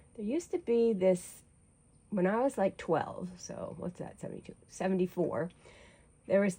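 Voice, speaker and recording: Somewhat breathy and dark and mellow in tone, a woman speaks at a moderate pace with ordinary pitch variation. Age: 60s. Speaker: artist and painting vlogger, retired nurse. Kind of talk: casual chat while painting. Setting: back porch. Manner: rambling, conversational with fillers.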